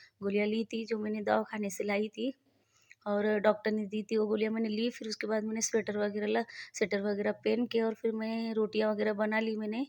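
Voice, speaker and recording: This voice belongs to a woman and sits fairly high. The intonation stays monotone and flat. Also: moderate pace. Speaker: vlogger, mother and housewife. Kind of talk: casual vlog narration. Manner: halting.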